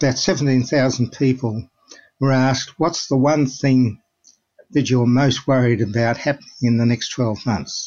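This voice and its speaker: This man talks at a fairly slow pace with fairly even intonation. His pitch is medium, and he has an Australian accent. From Melbourne, Australia. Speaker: clinical psychologist. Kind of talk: interview.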